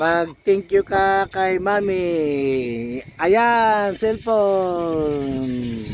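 This man speaks at a very slow pace yet with hardly any pauses. His pitch is high and his intonation lively. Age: old. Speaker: vlogger. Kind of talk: casual vlog. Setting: bedroom at home.

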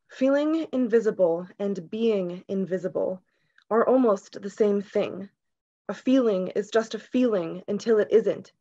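At a medium pitch with ordinary variation, a woman with a dark, mellow, shaky voice speaks at a fairly slow pace against a quiet background. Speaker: poet. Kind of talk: poetry reading. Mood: calm, earnest, reflective. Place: home room. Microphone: video call.

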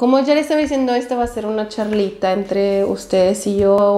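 With faint background noise behind her, a woman speaks in a dark, mellow tone.

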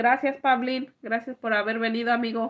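A woman's bright, sharp tone, monotone and flat in intonation, at a moderate pace against a quiet background. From Mexico. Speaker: YouTube vlogger. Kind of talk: casual livestream chat, reading comments aloud. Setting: live stream.

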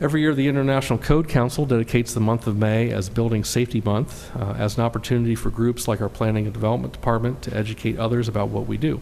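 Noticeable background noise accompanies this very fast speech with hardly any pauses and fairly even intonation. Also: man, medium pitch for a man. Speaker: city staff member giving reports. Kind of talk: formal council report.

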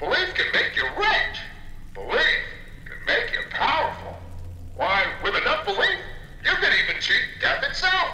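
Doing a put-on character voice, a man speaks at a moderate pace with an extremely high pitch, very wide pitch swings and a bright, sharp tone, with audible room echo around him.

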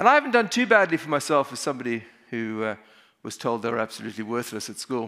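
A man with a South African accent speaks at a very fast pace and a medium pitch in a bright, sharp tone. His loudness swings widely, his pitch varies in an ordinary way, and the background is quiet. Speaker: emergency physician; conference speaker. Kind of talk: conference talk. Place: hall. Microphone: headset.

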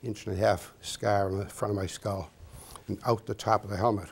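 Fairly low-pitched and somewhat breathy, a man talks at a fairly quick pace. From Massachusetts. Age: 80s+. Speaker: war veteran. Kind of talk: interview answer. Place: studio. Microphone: lapel.

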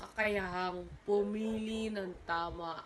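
A woman's medium-pitched voice at a very slow pace, with ordinary pitch variation and audible room echo. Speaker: university student. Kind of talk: oral exam presentation. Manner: halting, with frequent self-corrections.

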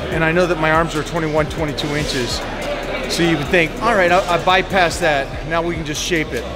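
A man talks at a moderate pace while music plays clearly in the background. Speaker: fitness coach. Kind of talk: casual vlog chat, advice. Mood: thoughtful, instructive. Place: gym. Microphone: phone near.

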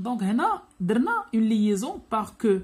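A woman speaks in a somewhat breathy voice with a Moroccan accent. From Morocco. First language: Moroccan Arabic (speaking French). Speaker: French grammar teacher. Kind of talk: lecture. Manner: code-switching Darija and French. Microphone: phone near.

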